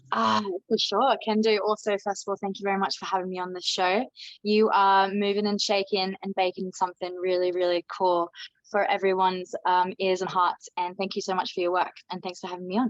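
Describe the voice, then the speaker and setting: Recorded with a dry, close sound and no echo, a woman with an Australian accent speaks at medium pitch and a fairly quick pace in a monotone, flat intonation. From Australia, born in Denmark. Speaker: DJ, singer and travel agency owner. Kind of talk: podcast interview.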